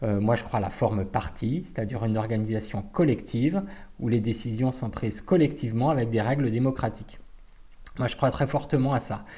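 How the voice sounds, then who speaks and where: A man at a fairly quick pace and medium pitch, somewhat breathy with a dark, mellow tone and ordinary pitch variation. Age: 40s. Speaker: party activist. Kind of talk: personal testimony. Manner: hesitant, many fillers.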